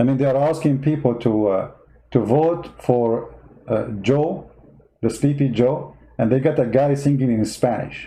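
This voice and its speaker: A man with an Arabic accent speaks at a medium pitch and a fairly slow pace, his tone dark and mellow, his loudness very even, his pitch variation ordinary, with long, frequent pauses and audible room echo. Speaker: political commentator. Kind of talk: livestream monologue. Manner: animated.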